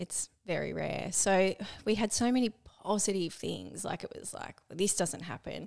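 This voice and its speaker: With big swings in loudness, a woman talks at a moderate pace. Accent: Australian. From Australia, Melbourne. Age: 30s. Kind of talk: casual chat.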